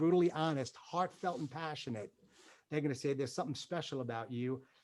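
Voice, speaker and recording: On a very clean recording with a silent background, a man with a New York accent speaks in an animated tone. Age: 50s. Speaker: motivational speaker, former military pilot. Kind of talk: motivational talk.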